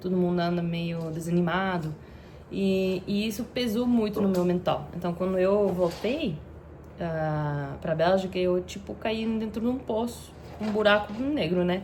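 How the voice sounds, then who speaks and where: Audible room echo follows a fairly slow delivery. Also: woman, medium pitch for a woman, ordinary pitch variation. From Belgium, Antwerp (Flanders). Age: 30s. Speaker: content creator. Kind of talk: personal vlog storytelling. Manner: halting, with fillers.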